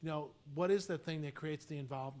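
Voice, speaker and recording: A very fast-talking man with a fairly high voice. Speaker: university president candidate. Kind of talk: Q&A session. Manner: fast when enthusiastic; animated.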